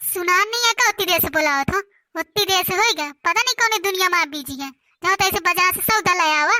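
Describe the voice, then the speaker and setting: In a dry, close sound with no echo, a woman puts on a character voice at an extremely high pitch and a fairly quick pace. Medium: comedy sketch. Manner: loud, scolding, sarcastic.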